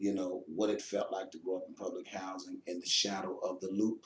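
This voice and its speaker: A man talks with an American accent. He leaves hardly any pauses. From Chicago, US Midwest. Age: 50s. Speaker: pastor and author. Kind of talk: interview. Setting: pastor's office.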